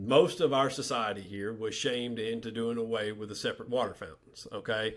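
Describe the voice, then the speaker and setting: In a Southern US accent, a man of medium pitch speaks at a fairly quick pace with hardly any pauses and ordinary pitch variation. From US South, north Alabama. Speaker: journalist. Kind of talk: podcast interview. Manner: halting, many fillers and repetitions.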